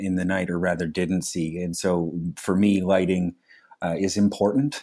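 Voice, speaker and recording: A man's fairly low voice at a fairly slow pace, in a very clean recording with a silent background. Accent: Canadian Maritime. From Nova Scotia, Canada. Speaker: public servant with low vision. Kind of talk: casual interview chat. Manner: halting, with frequent fillers.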